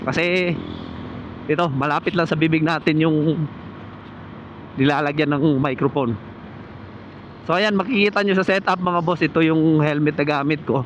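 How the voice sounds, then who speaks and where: At a moderate pace with long, frequent pauses, a man speaks with very even loudness and fairly even intonation over noticeable background noise. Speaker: motovlogger. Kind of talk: tutorial. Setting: outdoors.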